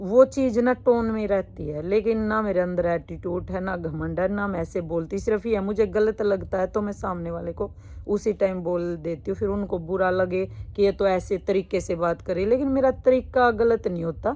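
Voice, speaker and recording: With hardly any pauses, a woman speaks at medium pitch with ordinary pitch variation. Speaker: vlogger and suit business owner. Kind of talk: personal vlog monologue. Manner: blunt, outspoken.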